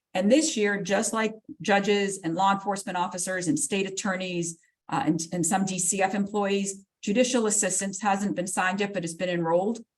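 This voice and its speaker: Speaking at a fairly quick pace, a woman keeps a medium pitch. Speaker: court clerk staff presenter. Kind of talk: legal education webinar presentation. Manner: fast; animated.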